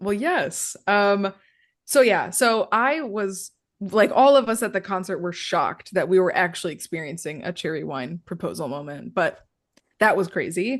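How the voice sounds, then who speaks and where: Over a quiet background, a woman with a normal speaking voice talks at a medium pitch with lively intonation. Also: moderate pace. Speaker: podcast co-host. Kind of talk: casual chat.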